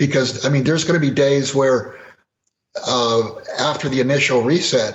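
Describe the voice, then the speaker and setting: With audible room echo, a man speaks at a moderate pace in a fairly high, somewhat breathy voice, keeping very even loudness and fairly even intonation through long, frequent pauses. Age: 60s. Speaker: precious metals commentator. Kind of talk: interview.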